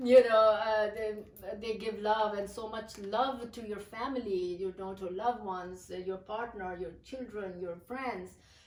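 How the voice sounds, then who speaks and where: A woman with a Pakistani accent, fairly even intonation and big swings in loudness, amid noticeable background noise and audible room echo. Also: fairly high pitch for a woman, fairly slow pace. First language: Urdu. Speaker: poet. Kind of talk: interview. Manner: halting.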